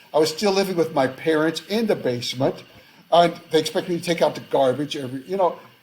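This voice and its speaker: With an American accent, this speaker goes at a very fast pace with ordinary pitch variation. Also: man. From United States. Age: 70s. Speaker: author and academic. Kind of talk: interview conversation. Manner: halting, many fillers and restarts.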